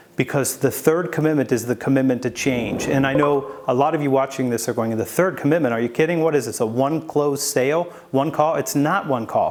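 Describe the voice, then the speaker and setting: Talking at a fairly quick pace with hardly any pauses, a man with a fairly high voice is heard over noticeable background noise. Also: ordinary pitch variation. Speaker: sales author and speaker. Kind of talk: video presentation. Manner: fast.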